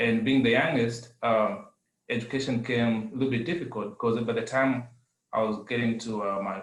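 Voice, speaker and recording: A man with a Zambian accent, medium pitch and fairly even intonation, at a moderate pace, with audible room echo. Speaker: adult education student. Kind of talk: testimony. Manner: halting.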